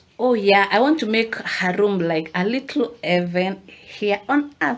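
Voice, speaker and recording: Over noticeable background noise, a woman at medium pitch speaks at a fairly slow pace with lively intonation. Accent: African. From Africa. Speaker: lifestyle vlogger. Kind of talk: casual vlog talk to camera. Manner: animated, chatty.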